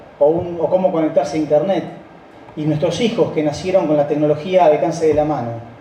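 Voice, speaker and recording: Talking at a fairly quick pace in a Rioplatense accent, a man is heard with audible room echo and noticeable background noise. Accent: Argentine Rioplatense Spanish. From Argentina, Rosario. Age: 60s. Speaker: company founding partner. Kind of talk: speech.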